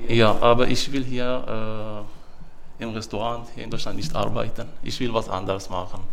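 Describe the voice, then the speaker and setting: Speaking in an Arabic accent with fairly even intonation, the voice carries an audible room echo. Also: man, medium pitch for a man, moderate pace. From Syria. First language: Arabic (speaking German). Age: 30s. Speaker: job-training participant. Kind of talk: casual interview. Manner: halting, many fillers.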